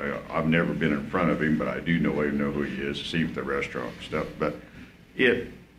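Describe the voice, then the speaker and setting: Fairly quick speech with ordinary pitch variation, noticeable background noise and audible room echo. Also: man, very deep, low pitch for a man. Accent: American. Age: 60s. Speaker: coyote hunter speaking at public comment. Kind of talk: public comment at a commission meeting. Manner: halting, repetitive.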